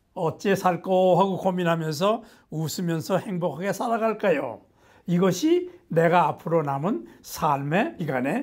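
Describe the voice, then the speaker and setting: A man speaks at a high pitch with lively intonation. The recording is very clean, with a silent background. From Korea, Gangwon Province. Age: 80s+. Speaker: nutrition professor. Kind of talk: lecture to camera.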